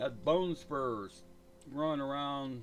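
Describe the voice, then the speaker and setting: Over music in the background, a man talks at a very slow pace with a medium pitch, ordinary pitch variation and a relaxed tone. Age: 60s. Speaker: gaming livestreamer. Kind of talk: casual chat. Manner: rambling, relaxed.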